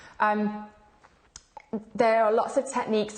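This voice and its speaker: A woman at medium pitch in a normal speaking voice, at a moderate pace. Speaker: fitness coach and membership founder. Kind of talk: live video presentation. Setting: live stream.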